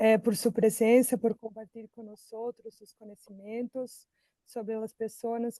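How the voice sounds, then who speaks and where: A woman speaks at a fairly slow pace with a dark, mellow tone. The sound is dry and close, without echo. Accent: Portuguese. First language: Portuguese (speaking Spanish). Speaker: seminar moderator. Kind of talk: formal introduction. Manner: halting.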